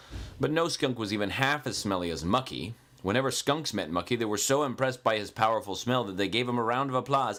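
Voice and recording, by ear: A passage read aloud in a natural voice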